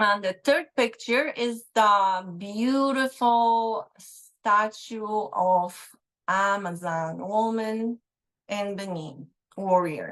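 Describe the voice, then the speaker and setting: At a very slow pace, a woman with a Polish accent speaks at medium pitch with ordinary pitch variation over a quiet background. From Poland. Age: 50s. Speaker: speech pathologist. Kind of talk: guest talk on a live online show.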